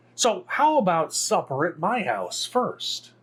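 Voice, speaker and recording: A man's high-pitched put-on character voice at a fairly slow pace. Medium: read story. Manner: eager, friendly.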